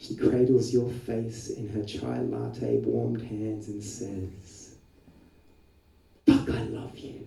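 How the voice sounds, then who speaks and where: Over noticeable background noise, a man speaks at a very slow pace with big swings in loudness. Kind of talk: slam poetry performance.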